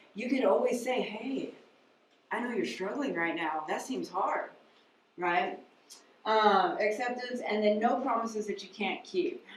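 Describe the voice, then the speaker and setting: The speaker moves at a moderate pace with ordinary pitch variation, and audible room echo surrounds the voice. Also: woman. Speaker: mental health counselor. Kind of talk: lecture.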